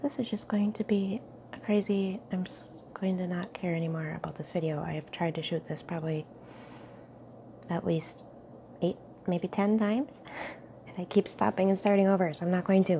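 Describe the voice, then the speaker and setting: A medium-pitched woman with a dark, mellow, somewhat breathy tone, big swings in loudness and long, frequent pauses. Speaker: ASMR youtuber. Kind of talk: casual ramble to camera. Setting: home kitchen nook, tripod camera.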